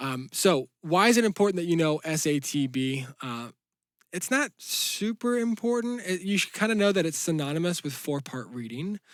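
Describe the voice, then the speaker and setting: The pitch swings very widely. The sound is dry and close, with no echo. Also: man, high pitch for a man, moderate pace, very clean recording, silent background. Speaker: piano teacher. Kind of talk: tutorial. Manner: casual, hesitant with fillers.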